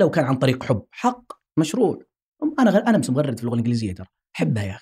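Dark and mellow, a man's voice with a somewhat breathy quality. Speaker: linguistics researcher and academic. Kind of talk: interview conversation.

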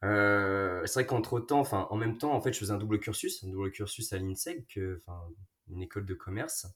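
A man speaks at a fairly low pitch with ordinary pitch variation and a somewhat breathy voice. The recording is very clean, with a silent background. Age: 20s. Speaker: pharmacy student. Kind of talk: casual chat. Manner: halting, many repetitions.

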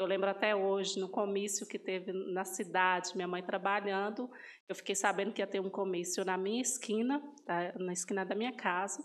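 A woman with a normal speaking voice, medium pitch, fairly even intonation and moderate pace, on a very clean recording with a silent background. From northern Minas Gerais, Brazil. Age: 30s. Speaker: pastry shop owner. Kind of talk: interview testimony.

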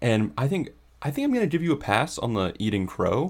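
A man speaks at a moderate pace with a fairly high pitch and vocal fry. His pitch swings very widely. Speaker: podcast co-host. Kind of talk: casual chat about baseball. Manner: laid-back, joking.

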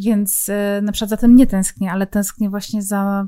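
Talking at a fairly quick pace, a woman has a fairly high pitch and a dark, mellow tone. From Poland, Silesia (Zabrze). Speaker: true crime podcaster and author. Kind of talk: casual interview conversation.

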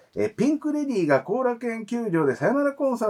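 Over noticeable background noise, a man speaks at a very fast pace with an extremely high pitch and very wide pitch swings. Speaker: podcast host. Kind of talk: scripted show narration; casual chat. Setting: studio.

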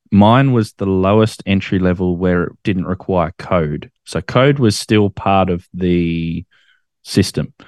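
Against a quiet background, a man with an Australian accent speaks at a very slow pace in a very deep, low pitch with ordinary pitch variation, the sound dry and close with no echo. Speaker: ham radio operator and YouTuber. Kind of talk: casual interview chat.

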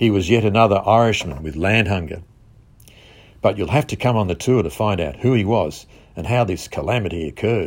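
A man with an Australian accent talks at a fairly quick pace, his pitch varying in an ordinary way. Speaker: visitor centre promoter. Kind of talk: scripted narration.

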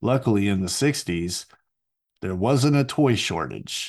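With an American accent, a man speaks at a fairly low pitch and with lively intonation. The background is quiet. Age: 40s. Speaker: podcast host. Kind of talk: solo monologue. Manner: hesitant, many fillers.

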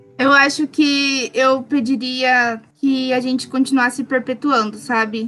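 A woman talks very slowly with hardly any pauses, her high voice flat and monotone. Noticeable background noise runs underneath. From Brazil, Paraná. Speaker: gaucho culture pageant representative. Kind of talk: casual interview chat.

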